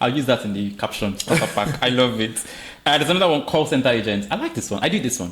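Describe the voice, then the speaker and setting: A man with a strong Nigerian accent talks very fast at medium pitch. His tone is animated and his intonation lively. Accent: thick Nigerian. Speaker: podcast host. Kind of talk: casual podcast chat.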